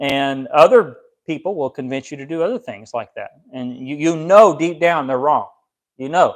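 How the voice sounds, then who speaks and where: A man with a fairly high pitch talks at a moderate pace with lively intonation. His loudness swings widely against a quiet background. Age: 30s. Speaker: pastor; preacher. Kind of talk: sermon. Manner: halting. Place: home room.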